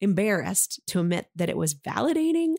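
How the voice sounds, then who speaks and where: A woman speaks at a moderate pace, her pitch swinging very widely. The sound is dry and close, with no echo. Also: very clean recording, silent background. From Maine, Oxford Hills area. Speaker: physical theatre performer and teaching artist. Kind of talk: casual interview chat.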